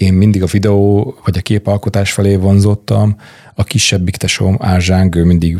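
A man speaks quietly at a moderate pace in a fairly low, somewhat breathy voice with ordinary pitch variation. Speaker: film producer. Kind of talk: casual interview chat. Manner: calm, quiet.

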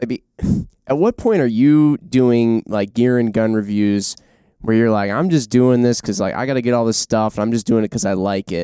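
With ordinary pitch variation, the man delivers his words at a moderate pace. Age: 20s. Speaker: podcast host. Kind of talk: casual chat. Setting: studio.

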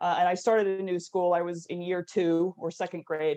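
A woman with an American accent talks at a fairly quick pace in a dark, mellow tone. The sound is dry and close, with no echo. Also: quiet background. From California. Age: 40s. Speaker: actress and former TV production worker. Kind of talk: interview conversation.

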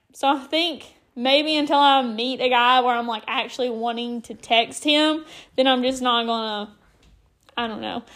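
Her voice is high-pitched and animated in tone. The woman keeps to a moderate pace. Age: 20s. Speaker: podcaster. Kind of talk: casual monologue.

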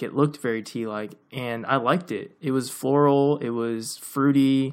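Very clean recording of a man at medium pitch, moderate pace and ordinary pitch variation, with a silent background. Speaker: podcast co-host. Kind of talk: casual chat. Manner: speeds up when excited.

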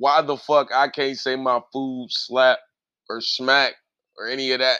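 This man's voice sits at a medium pitch and has a bright, sharp tone. He talks at a fairly slow pace. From US Midwest. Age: 30s. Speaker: podcast host and music artist. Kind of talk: casual chat. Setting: home studio in an attic.

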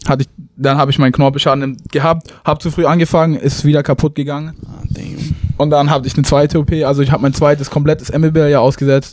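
A man talks at a very fast pace with a fairly high pitch. His intonation is monotone and flat. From southwestern Germany, Tübingen. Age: young. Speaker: college basketball player. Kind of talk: interview. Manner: casual, halting.

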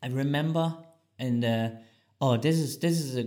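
This man speaks with a German accent at a moderate pace. His tone is dark and mellow. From East Germany. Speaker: podcast co-host. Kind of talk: casual chat.

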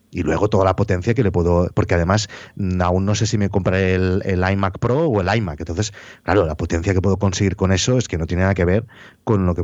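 A man's very deep, low voice at a fairly quick pace, against a quiet background. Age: 40s. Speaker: podcaster and YouTuber. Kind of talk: casual chat. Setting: home office.

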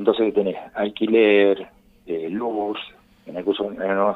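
This man talks very slowly. His voice sits fairly low in pitch. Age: 50s. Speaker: kiosk owner. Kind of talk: radio interview. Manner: halting.

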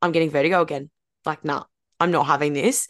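Against a quiet background, a woman speaks. She has an Australian accent. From Australia, far from Gold Coast. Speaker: podcast co-host. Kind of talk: casual chat.

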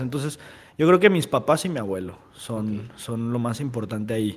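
A man speaks at a fairly quick pace with lively intonation. He has an unremarkable speaking voice. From Mexico, Guadalajara. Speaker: restaurant owner and entrepreneur. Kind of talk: casual interview.

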